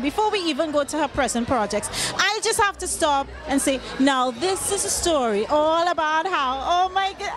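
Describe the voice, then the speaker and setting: With a Trinidadian accent, a woman speaks in a high voice with lively intonation at a moderate pace. Music plays in the background. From Trinidad and Tobago. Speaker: entertainment interviewer. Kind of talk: red carpet interview. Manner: animated.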